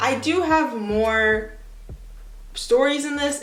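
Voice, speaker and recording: Music plays in the background of this recording, which has audible room echo. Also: woman. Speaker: YouTuber. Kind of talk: casual vlog, reading old writing aloud. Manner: casual, self-mocking.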